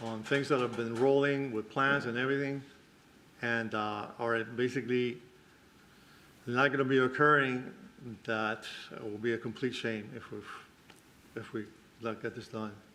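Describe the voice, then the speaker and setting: A man mumbles at a moderate pace with long, frequent pauses, his medium-pitched voice bright and sharp in tone and monotone, flat in intonation. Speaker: property developer addressing a code enforcement board. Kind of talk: public hearing testimony. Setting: public board meeting. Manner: mumbling.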